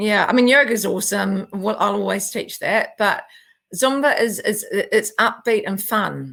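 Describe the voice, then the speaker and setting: The speaker talks at a fairly slow pace with a New Zealand accent. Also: woman. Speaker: naturopath and yoga and Zumba teacher. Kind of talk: interview conversation.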